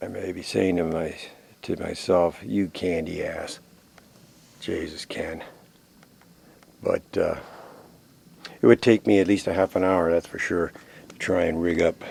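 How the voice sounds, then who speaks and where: Taking long, frequent pauses, a man talks at a fairly slow pace. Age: 60s. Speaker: outdoor video diarist. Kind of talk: casual self-narration. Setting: outdoors. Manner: halting.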